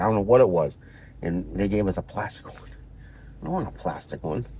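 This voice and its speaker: A somewhat breathy man at a fairly quick pace. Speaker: vlogger. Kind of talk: casual vlog monologue. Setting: in a parked car. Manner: halting, many fillers and repeats.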